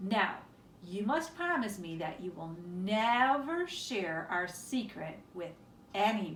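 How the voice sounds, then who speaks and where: A woman puts on a gruff character voice at medium pitch, swinging very widely in pitch. She speaks at a very slow pace, with audible echo. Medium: read story.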